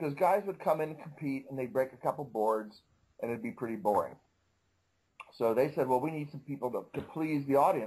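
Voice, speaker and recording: Speaking at a fairly quick pace, a man with a fairly high pitch uses lively intonation in a somewhat breathy voice. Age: 60s. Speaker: karate master. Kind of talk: interview. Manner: casual, conversational.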